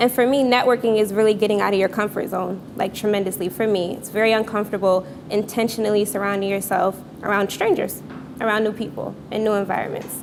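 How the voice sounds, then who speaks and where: A woman talks at a very fast pace with a medium pitch. Noticeable background noise runs under her voice. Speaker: storyteller at live event. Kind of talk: live storytelling. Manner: fast when excited.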